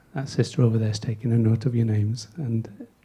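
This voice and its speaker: This man's voice is dark and mellow, with a somewhat breathy quality. His pitch sits in the medium range. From England. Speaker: master of ceremonies. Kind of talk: event hosting. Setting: stage with audience. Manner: casual, joking.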